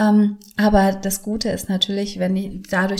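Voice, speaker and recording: A woman speaks at a medium pitch with a somewhat breathy quality. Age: 40s. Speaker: podcast host and yoga teacher. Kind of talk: casual monologue with course promotion. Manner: animated.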